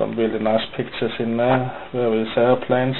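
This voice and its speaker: Noticeable background noise sits behind this man's voice. He talks at a medium pitch with monotone, flat intonation. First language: not English. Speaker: hobby modeller, video maker. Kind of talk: casual show-and-tell video. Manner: halting, with fillers.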